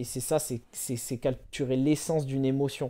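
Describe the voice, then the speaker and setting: A man's dark, mellow tone at a fairly slow pace. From France, Bordeaux. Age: 20s. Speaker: writer. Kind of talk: casual interview. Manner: hesitant, many fillers.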